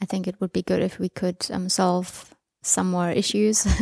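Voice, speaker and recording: A woman speaks at a fairly slow pace with a medium pitch and monotone, flat intonation. The sound is dry and close, with no echo. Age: 20s. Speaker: open source program participant. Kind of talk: interview.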